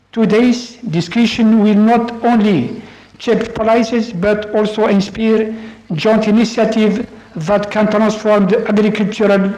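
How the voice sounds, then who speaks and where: With music in the background, the speaker talks at a fairly slow pace with an Arabic accent. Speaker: official of an intergovernmental organization. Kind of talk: formal conference speech. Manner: formal; hesitant.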